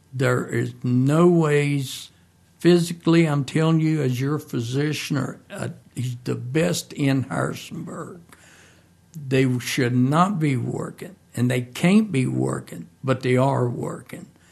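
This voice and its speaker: Somewhat breathy, a man with an American accent speaks at a very slow pace in a medium pitch, with ordinary pitch variation. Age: 60s. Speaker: guest giving testimony. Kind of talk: testimony.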